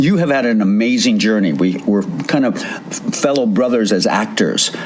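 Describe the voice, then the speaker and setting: Amid audible room echo and noticeable background noise, a man talks at a moderate pace with lively intonation. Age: 70s. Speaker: radio host. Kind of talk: casual chat.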